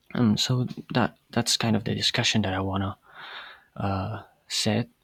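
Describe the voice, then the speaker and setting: In a fairly low voice with vocal fry, a man with a non-native accent speaks in a flat monotone, the sound dry and close with no echo. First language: not English. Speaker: podcast host. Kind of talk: casual monologue. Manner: hesitant, many fillers.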